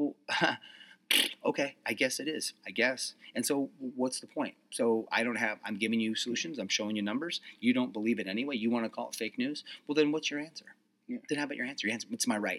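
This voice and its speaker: At a very fast pace, a man delivers his words in an animated tone with a medium pitch and ordinary pitch variation. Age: 40s. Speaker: speech teacher. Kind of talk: casual chat.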